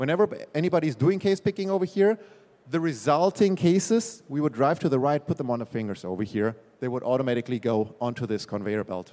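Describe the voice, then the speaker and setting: This man has a dark, mellow tone and a fairly high pitch, speaking very fast with a German accent. His pitch swings very widely. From Germany. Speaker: management consultant. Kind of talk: trade fair presentation. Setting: stage with small audience at trade fair. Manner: hesitant, filler-heavy.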